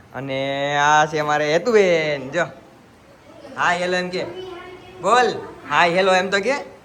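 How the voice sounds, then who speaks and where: Ordinary pitch variation, with audible room echo and noticeable background noise. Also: man, high pitch for a man. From Gujarat, India. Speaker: vlogger. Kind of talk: casual vlog tour. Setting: outdoors on family farm. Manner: animated.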